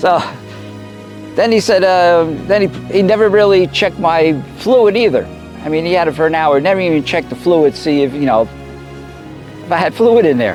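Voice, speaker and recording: A man's high voice with lively intonation, a moderate pace, long and frequent pauses, and music in the background. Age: 70s. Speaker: vlogger living on the road. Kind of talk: casual vlog monologue. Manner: rambling, hesitant with fillers.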